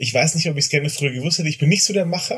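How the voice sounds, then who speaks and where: The voice belongs to a man. It is somewhat breathy. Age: 40s. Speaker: father of two. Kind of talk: casual chat.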